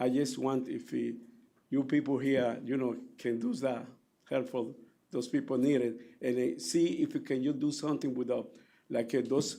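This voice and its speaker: Moderately paced speech from a man, broken by long, frequent pauses. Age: 60s. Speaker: taxi driver giving public testimony. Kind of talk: public hearing testimony. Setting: public hearing room. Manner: halting.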